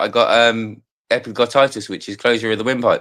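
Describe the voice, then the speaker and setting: With a Cockney accent, a man speaks at a very fast pace in a bright, sharp tone. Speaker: live stream participant. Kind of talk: casual chat. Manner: animated.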